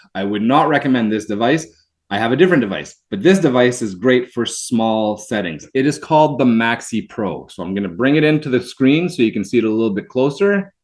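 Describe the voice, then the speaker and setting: Speaking at a fairly quick pace with hardly any pauses, a man uses lively intonation at a medium pitch. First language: French. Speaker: product representative. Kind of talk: webinar product demonstration. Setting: video webinar.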